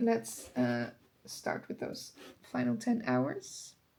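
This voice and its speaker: A woman with a Dutch accent. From Netherlands. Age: 20s. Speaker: book vlogger. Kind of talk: casual vlog talk to camera.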